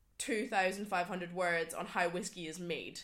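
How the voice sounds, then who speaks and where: A woman in a Scottish Highland accent speaks with a bright, sharp tone and fairly even intonation. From Scottish Highlands. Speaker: podcast guest. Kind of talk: casual chat.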